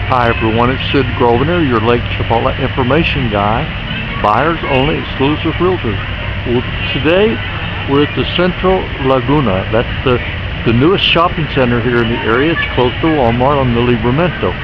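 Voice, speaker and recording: Loud background noise surrounds a man speaking at a moderate pace with ordinary pitch variation, the sound dry with no echo. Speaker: guide. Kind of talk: casual walking tour commentary. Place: market. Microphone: phone near.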